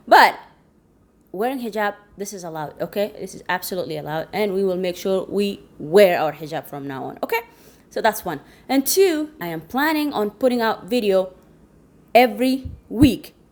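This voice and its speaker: A woman at medium pitch talks at a moderate pace with long, frequent pauses, very wide pitch swings and big swings in loudness, against noticeable background noise. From Chad. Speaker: interpreter and translator, vlogger. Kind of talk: casual vlog intro. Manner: conversational, some hesitations.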